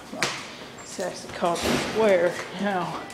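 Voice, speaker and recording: Noticeable background noise sits under speech that moves at a fairly slow pace. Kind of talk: casual vlog commentary. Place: hall. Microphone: phone near.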